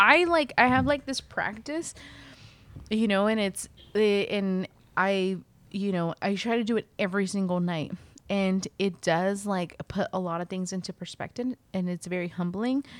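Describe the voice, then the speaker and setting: A woman speaks in an ordinary speaking voice at medium pitch, with ordinary pitch variation and a moderate pace. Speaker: textile artist. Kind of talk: casual chat. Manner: laughs often.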